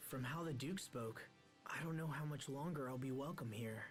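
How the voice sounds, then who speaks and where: Putting on a character voice, a man speaks at a medium pitch and moderate pace, his loudness very even, with clear music in the background. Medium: video game.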